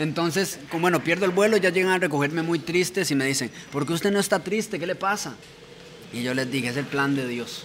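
With noticeable background noise behind him, a man talks at a fairly quick pace in a high pitch with ordinary pitch variation. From Costa Rica, Pacayas, Cartago. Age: 20s. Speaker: rapper. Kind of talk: casual chat.

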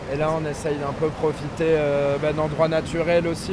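A man's fairly high, monotone, flat voice amid noticeable background noise and audible room echo. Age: 20s. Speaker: surfer. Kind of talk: casual chat. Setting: outdoors.

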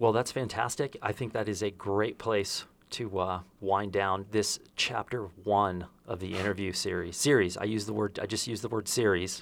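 A man speaks at a moderate pace in a fairly low pitch. His intonation is fairly even, and it is an unremarkable speaking voice. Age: 50s. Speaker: podcast host and photographer. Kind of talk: interview. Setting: on location in Santa Fe.

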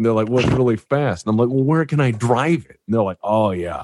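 Behind the man's speech, the background stays quiet. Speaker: YouTube narrator and host. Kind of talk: casual chat. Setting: video call.

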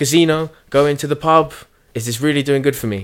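Here a man speaks at a fairly high pitch. The recording is very clean, with a silent background. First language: Spanish. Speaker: personal trainer. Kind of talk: casual chat. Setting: studio. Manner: casual, laughs often.

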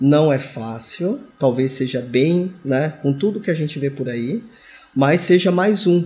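Somewhat breathy, a man's voice carries a dark, mellow tone and ordinary pitch variation. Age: 40s. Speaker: engineering supervisor. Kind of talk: interview.

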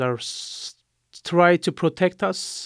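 A man with a Turkish accent talks very slowly at a high pitch, the sound dry and close with no echo. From Turkey. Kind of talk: interview testimony. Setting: studio.

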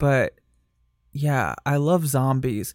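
Fairly high male voice in a Michigan accent, on a very clean recording with a silent background. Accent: Michigan, general American. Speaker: drag performer and podcast host. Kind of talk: casual interview chat.

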